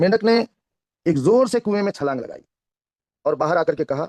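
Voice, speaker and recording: In a dry, close sound with no echo, a man speaks at a high pitch with lively intonation. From India, Karnataka. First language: Kannada (speaking Hindi). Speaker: network marketing trainer. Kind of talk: motivational talk with storytelling. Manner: careful, deliberate speech.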